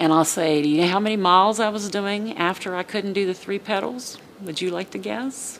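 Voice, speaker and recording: Over noticeable background noise, a woman talks at a moderate pace. Her pitch is medium, with ordinary variation. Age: 60s. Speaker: patient giving testimonial. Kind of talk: testimony. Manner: animated.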